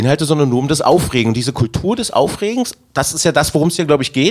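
A man's fairly high voice races at a very fast pace, swinging very widely in pitch. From Magdeburg, Germany. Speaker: city councillor and festival organiser. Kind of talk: casual chat.

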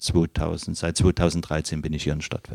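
A man speaks at a fairly slow pace in a dark, mellow tone, with a dry, close sound and no echo. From Leipzig, Saxony (eastern Germany). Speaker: fountain pen repairer. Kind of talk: interview. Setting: workshop. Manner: relaxed.

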